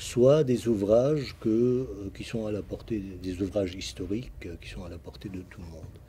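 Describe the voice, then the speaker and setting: A man's voice at medium pitch with ordinary pitch variation. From Lebanon. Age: 60s. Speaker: retired construction professional, sultan's descendant. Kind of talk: TV interview. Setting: TV studio.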